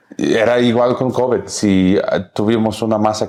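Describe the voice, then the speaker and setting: The man's voice sits fairly low and his intonation is monotone and flat. Noticeable background noise runs underneath. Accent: English. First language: English (speaking Spanish). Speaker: podcast host. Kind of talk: interview conversation. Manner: halting.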